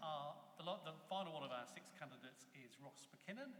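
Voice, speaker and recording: There is audible room echo as a man speaks. His pitch is fairly high and his pace very fast. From Reading area, Berkshire, England. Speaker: debate moderator. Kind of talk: moderating a public debate. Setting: chapel with live audience.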